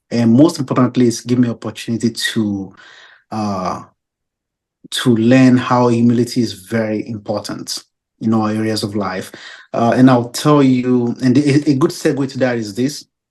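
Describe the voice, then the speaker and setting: A man with an African accent speaks at a moderate pace. His pitch is medium and his intonation fairly even. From Nigeria. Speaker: naval officer. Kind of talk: interview. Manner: halting.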